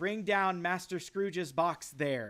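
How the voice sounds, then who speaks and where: A man puts on a character voice, high-pitched, raised and projected, at a fairly slow pace in a very clean recording with a silent background. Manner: shouting, commanding.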